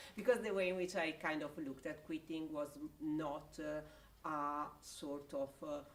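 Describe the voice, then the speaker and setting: Speaking at a fairly slow pace with hardly any pauses, a woman has a very deep, low pitch and ordinary pitch variation. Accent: Italian. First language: Italian. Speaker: researcher. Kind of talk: academic panel discussion. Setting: hybrid livestream event. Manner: halting, many fillers.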